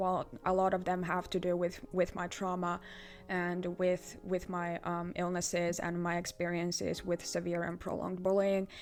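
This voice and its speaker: At a moderate pace, a woman speaks with a fairly low pitch and monotone, flat intonation. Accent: Finnish. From Finland. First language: Finnish. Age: 20s. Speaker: artist. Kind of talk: vlog channel introduction. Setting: filming self on camera. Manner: halting, many fillers and repetitions.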